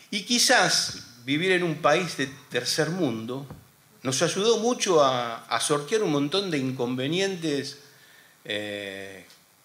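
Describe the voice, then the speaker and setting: A man with a fairly high pitch speaks in a bright, sharp tone. His pitch swings very widely. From Argentina. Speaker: war veteran and radio host. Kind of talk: panel talk. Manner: halting. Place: hall. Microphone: podium.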